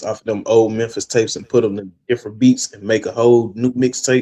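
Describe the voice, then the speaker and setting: A man with a Southern US accent speaks at a medium pitch in a dark, mellow tone. His intonation stays monotone and flat. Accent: Southern, country. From West Tennessee (Jackson). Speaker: rapper, radio founder. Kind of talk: casual chat.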